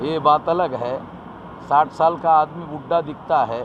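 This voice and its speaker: There is noticeable background noise behind this man, whose voice sits at a fairly high pitch. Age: 60s. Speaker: activist organization leader. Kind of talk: interview.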